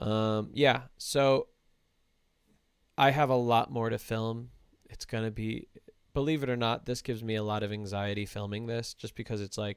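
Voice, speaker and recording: A man's medium-pitched, fairly even delivery with long, frequent pauses, in a very clean recording with a silent background. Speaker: relationship coach and podcast host. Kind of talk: livestream chat. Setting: livestream. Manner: slow-paced.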